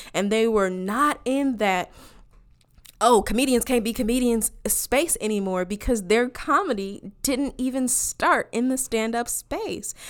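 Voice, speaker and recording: A woman speaks fairly slowly at a high pitch with an animated tone and ordinary pitch variation, on a very clean recording with a silent background. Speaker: podcast host. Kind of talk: casual chat.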